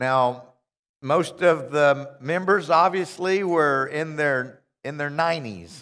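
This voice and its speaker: A man's fairly high voice with a bright, sharp tone and ordinary pitch variation, very slow pace, quiet background. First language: English (speaking Russian). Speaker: visiting minister. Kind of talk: sermon. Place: church. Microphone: headset.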